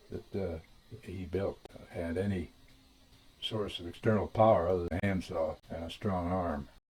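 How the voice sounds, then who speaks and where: Speaking in an American accent, a man has a very deep, low pitch and a dark, mellow tone that is somewhat breathy. His pace is moderate, and his pitch varies in an ordinary way. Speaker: family historian. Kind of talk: storytelling. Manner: halting.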